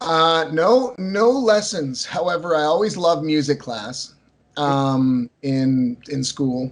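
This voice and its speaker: Very slow delivery with lively intonation. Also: man, fairly high pitch for a man. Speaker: punk and folk singer-songwriter. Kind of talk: casual interview.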